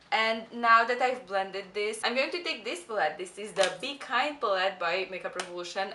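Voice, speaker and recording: A woman speaks in a fairly high voice with a non-native accent. Noticeable background noise runs behind her. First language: not English. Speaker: beauty youtuber. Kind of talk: tutorial. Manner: casual, chatty.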